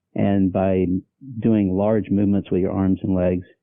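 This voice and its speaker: Here a man speaks with a very deep, low pitch. His intonation is monotone and flat. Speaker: patient with Parkinson's disease. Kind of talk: interview. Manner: halting.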